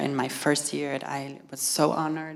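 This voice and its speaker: A woman with a Portuguese accent speaks in a monotone, flat intonation amid noticeable background noise. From Brazil. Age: 30s. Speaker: fashion stylist. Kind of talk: public talk. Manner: halting.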